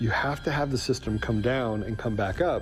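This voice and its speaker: The talking proceeds at a moderate speed. Background music is present. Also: man. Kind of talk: explanatory talk about election systems.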